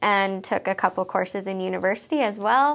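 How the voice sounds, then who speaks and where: A woman with a Canadian accent talks at a moderate pace in a medium pitch with ordinary pitch variation, using an ordinary speaking voice. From Alberta, Canada. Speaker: elementary school teacher. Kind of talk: interview.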